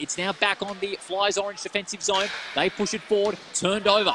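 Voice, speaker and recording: A man's excited, raised and projected high-pitched voice with an Australian accent, dry with no echo, over noticeable background noise. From Western Australia. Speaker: ice hockey commentator. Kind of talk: live play-by-play ice hockey commentary, rapid puck-tracking calls. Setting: commentary box at ice rink, live stream. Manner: quick clipped name-calling of players as the puck moves; excited rhetorical questions mid-play, self-correcting in the rush. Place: stadium.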